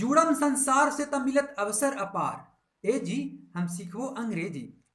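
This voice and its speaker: With a bright, sharp tone and lively intonation, a man speaks at an extremely high pitch. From Bihar, India. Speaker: English motivation teacher for rural youth. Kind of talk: poetry reading with explanation.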